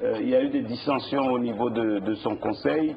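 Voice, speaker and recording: An unremarkable speaking voice moves at a fairly slow pace. Its pitch varies in an ordinary way. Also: man. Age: 60s. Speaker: politician. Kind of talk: TV interview.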